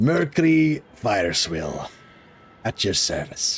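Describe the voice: In a put-on character voice with a Scottish accent, a man speaks at a very slow pace and medium pitch, his pitch swinging very widely.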